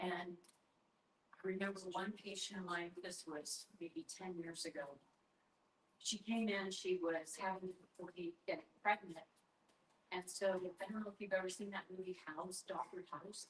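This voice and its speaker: A woman speaks at a medium pitch and moderate pace. Her voice is somewhat breathy, with fairly even intonation. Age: 60s. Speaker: doctor of natural medicine, army veteran. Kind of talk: sales pitch.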